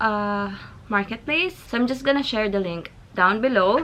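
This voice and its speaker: Her fairly high pitch carries a bright, sharp tone, and this woman shows ordinary pitch variation. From Philippines, Zamboanga (Chavacano speaker). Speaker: vlogger. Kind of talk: casual vlog.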